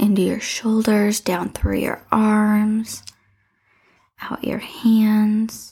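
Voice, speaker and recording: A woman speaks at a very slow pace in a monotone, flat delivery, with a fairly high pitch and a dark, mellow, somewhat breathy tone. Her tone is calm and soothing. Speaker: meditation guide podcast host. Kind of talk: guided meditation. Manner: slow, calm, soothing, with long pauses; gentle, instructive, warm.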